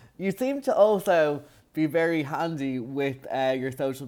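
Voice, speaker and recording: With an Irish accent, a man talks using ordinary pitch variation. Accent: Irish, nasal. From Ireland. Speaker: podcast host. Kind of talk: casual interview.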